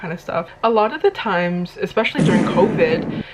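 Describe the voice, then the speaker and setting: Speech from a woman, with noticeable background noise. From Indonesia. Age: 20s. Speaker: YouTuber. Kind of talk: casual sit-down monologue.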